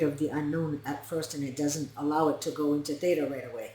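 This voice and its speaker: Very fast and somewhat breathy, a woman talks in a very deep, low pitch with a dark, mellow tone. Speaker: narcissistic abuse recovery coach and hypnotist. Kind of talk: educational talk to camera.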